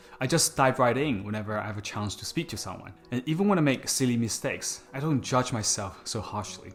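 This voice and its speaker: A man with a Chinese accent, medium in pitch, with lively intonation and hardly any pauses. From China. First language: Mandarin Chinese. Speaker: public speaking coach, YouTuber. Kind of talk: scripted talk to camera.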